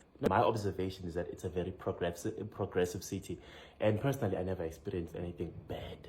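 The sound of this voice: In a South African accent, the speaker sounds somewhat breathy and moves at a fairly quick pace. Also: man.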